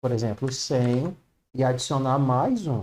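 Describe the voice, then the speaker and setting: A man's dark, mellow tone at a medium pitch. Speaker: programming teacher. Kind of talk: online class. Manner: slow.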